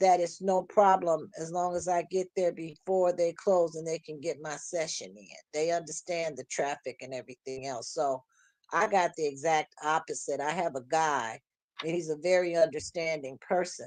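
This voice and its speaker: A normal speaking voice with ordinary pitch variation and big swings in loudness. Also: woman, fairly low pitch for a woman, moderate pace. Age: 60s. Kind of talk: casual chat.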